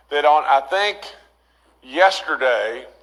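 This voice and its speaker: A man with an Appalachian accent, a bright, sharp tone and a fairly slow pace. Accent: Appalachian American. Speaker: state governor. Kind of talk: press briefing. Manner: halting, stuttering, many fillers.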